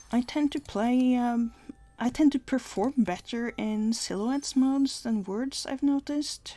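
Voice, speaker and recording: A woman's high-pitched voice at a fairly slow pace, with ordinary pitch variation and music in the background. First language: not English. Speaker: gaming video creator. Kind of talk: gameplay commentary. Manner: hesitant, many fillers.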